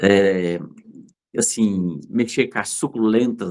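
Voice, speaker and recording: A man's animated tone, with ordinary pitch variation, comes through a very clean recording where the background is silent. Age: 60s. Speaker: fruit and vegetable business owner. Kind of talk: interview storytelling. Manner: animated, hesitant repetitions.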